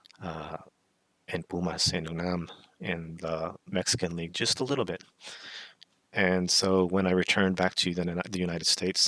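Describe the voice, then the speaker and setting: A man with an American accent and a very deep, low pitch speaks at a moderate pace, in a bright, sharp tone, with fairly even intonation and long, frequent pauses. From US South, southern Alabama. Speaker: podcast host. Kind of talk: casual monologue, personal story. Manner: halting, with fillers and restarts.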